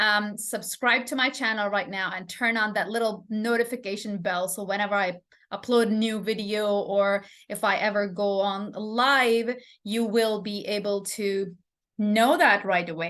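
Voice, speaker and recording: A woman with a non-native accent speaks fairly slowly at medium pitch, her intonation fairly even against a quiet background. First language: not English. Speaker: English teacher. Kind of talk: live stream lesson. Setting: live stream. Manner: halting, many fillers.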